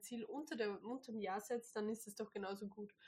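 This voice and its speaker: Somewhat breathy and dark, mellow in tone, a woman's voice sits at a fairly high pitch. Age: 20s. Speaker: host's girlfriend, product lister. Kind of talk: casual chat.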